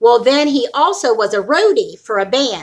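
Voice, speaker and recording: Loud and lively in intonation, a woman speaks. Her tone is bright and sharp. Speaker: vlogger, weight loss channel. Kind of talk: casual livestream chat. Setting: home livestream.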